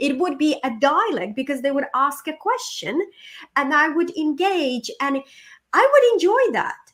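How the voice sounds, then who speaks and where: A woman with a Ukrainian accent speaks at a moderate pace and a high pitch. Her tone is animated, with very wide pitch swings. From Ukraine. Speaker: motivational speaker and coach. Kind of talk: podcast interview.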